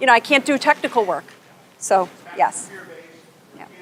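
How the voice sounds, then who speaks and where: With an American accent, a woman talks at a fairly quick pace. Noticeable background noise can be heard. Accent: Buffalo accent, comes out at times. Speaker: business consultant and workshop presenter. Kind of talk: workshop presentation. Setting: conference session with live audience, attendees on headphones. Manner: conversational, interactive.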